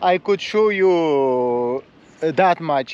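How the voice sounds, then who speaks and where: In a dry sound with no echo, a man speaks at a very slow pace with very wide pitch swings. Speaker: travel vlogger. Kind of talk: casual vlog chat. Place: beach. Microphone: phone near.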